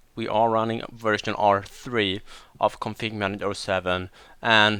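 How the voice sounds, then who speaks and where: In a very clean recording with a silent background, a man with a Swedish accent speaks in a bright, sharp tone. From Sweden, west coast. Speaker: IT deployment trainer. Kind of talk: technical training tutorial.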